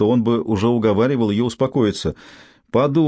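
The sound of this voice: This is an unforced reading voice. It reads along without strain.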